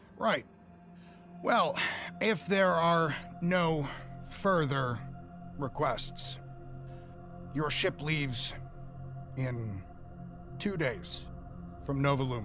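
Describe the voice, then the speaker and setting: A man does a put-on character voice, raspy and fairly high-pitched, with lively intonation at a very slow pace. Long, frequent pauses break it up while clear music plays in the background. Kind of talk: game master character voice. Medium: actual play. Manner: formal, measured, businesslike.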